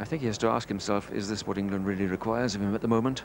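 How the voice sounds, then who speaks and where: Here a man is speaking. His pace is very fast. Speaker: cricket commentator. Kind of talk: live cricket commentary. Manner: animated, wry.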